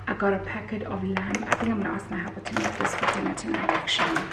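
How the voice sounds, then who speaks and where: A woman whispers over noticeable background noise, with audible room echo. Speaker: lifestyle vlogger. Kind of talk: casual vlog haul. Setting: at home. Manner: whispering.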